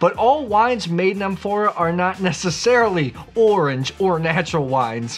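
Faint music plays behind a man who speaks at a moderate pace. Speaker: wine educator host. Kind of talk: educational explainer to camera. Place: home room.

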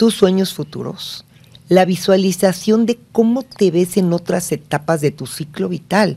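Her voice is somewhat breathy, and this woman's tone is dark and mellow. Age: 60s. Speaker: family therapist; guest. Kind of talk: casual chat. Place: studio. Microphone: studio mic.

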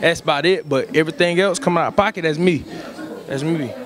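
Over noticeable background noise, a man talks at a very fast pace with a high pitch for a man. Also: ordinary pitch variation, dry sound with no echo. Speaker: interviewee. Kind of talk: interview answer. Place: hall. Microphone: handheld.

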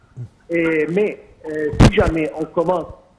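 This man talks at a very slow pace with a fairly high pitch. Noticeable background noise is present. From Egypt. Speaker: economics expert. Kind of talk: TV interview. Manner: halting, repetitive.

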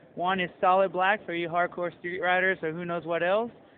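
The sound is dry, with no echo. Light background noise sits underneath. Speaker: presenter. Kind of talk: product presentation.

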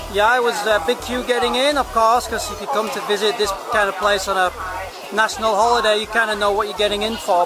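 A man talks at a fairly quick pace in a raised, projected voice. The sound is dry with no echo, and crowd noise runs in the background. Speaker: travel vlogger. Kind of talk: casual vlog chat. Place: street. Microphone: phone near.

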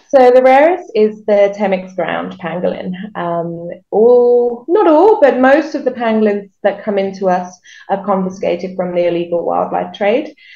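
Amid audible room echo, a woman speaks at a moderate pace with lively intonation. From southern England, Reading near London; southern England. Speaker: wildlife rehabilitator. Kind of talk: interview. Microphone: video call.

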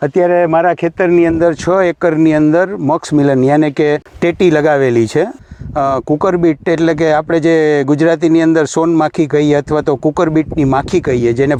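A man with a fairly high pitch and a dark, mellow tone. His intonation stays fairly even, and the sound is dry and close with no echo. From Gujarat, Saurashtra (Junagadh district). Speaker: farmer. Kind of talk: product testimonial.

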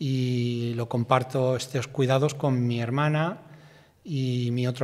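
A man talks at a very slow pace with fairly even intonation. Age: 60s. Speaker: bus driver; interviewee. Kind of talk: interview testimony. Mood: reflective, recounting accident. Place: studio. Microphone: studio mic.

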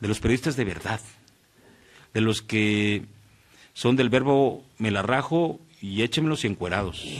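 Pausing long and often, a man speaks at a fairly slow pace with ordinary pitch variation over a quiet background. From Mexico, Morelos; Mexico. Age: 40s. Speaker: radio announcer. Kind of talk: casual interview chat. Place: studio. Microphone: studio mic.

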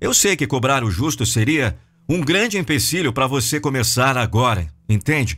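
A man with vocal fry and a bright, sharp tone talks at a moderate pace with lively intonation. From Brazil. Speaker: professional voice-over narrator. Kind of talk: video sales letter narration. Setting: studio. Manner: emphatic, persuasive, high-impact. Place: studio. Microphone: studio mic.

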